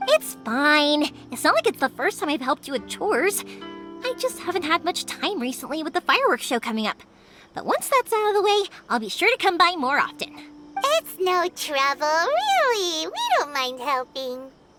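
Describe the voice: A woman's put-on character voice, high-pitched and bright, sharp in tone, with big pitch swings and faint music in the background. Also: moderate pace.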